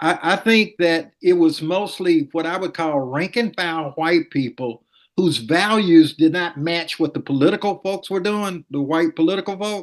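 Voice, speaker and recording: With hardly any pauses, a man speaks at a moderate pace in a high pitch with ordinary pitch variation over a quiet background. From Montgomery, Alabama. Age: 70s. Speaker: former city attorney. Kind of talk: interview.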